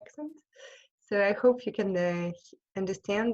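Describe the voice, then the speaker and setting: A woman in a French accent, with ordinary pitch variation. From France. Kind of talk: online talk with slides. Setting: video call. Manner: halting.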